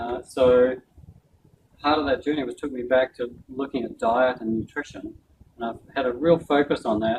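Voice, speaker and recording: A man with a New Zealand accent speaks at a moderate pace and medium pitch with fairly even intonation. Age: 60s. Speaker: doctor giving a health talk. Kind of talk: talk with Q and A.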